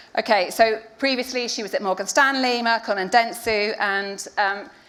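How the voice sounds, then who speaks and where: A woman's bright, sharp, fairly high voice, fairly even in intonation, at a moderate pace. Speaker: panel moderator, events director. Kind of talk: panel moderation. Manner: casual, chatty.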